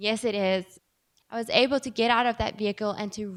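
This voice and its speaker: With an American accent, a woman speaks in an animated tone at a moderate pace and a fairly high pitch. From South Africa, Johannesburg. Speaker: keynote speaker. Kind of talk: motivational speech.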